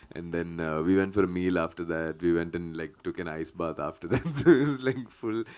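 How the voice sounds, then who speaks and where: Hardly pausing at all, a man with a very deep, low pitch speaks at a fairly quick pace with ordinary pitch variation. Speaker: film actor. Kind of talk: press conference. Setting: press meet.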